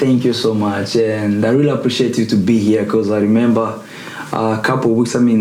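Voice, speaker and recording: A man's monotone, flat delivery at a moderate pace, with audible room echo and noticeable background noise. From Africa. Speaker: podcast host. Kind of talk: interview. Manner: casual.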